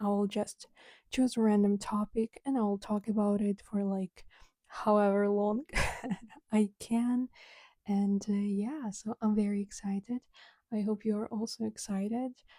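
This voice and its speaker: A woman speaks at a medium pitch and a fairly slow pace, with a dark, mellow tone and flat, monotone intonation. Her long, frequent pauses come through in a dry, close sound with no echo. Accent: Ukrainian. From Ukraine. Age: 20s. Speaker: podcaster and content creator. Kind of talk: casual solo podcast chat.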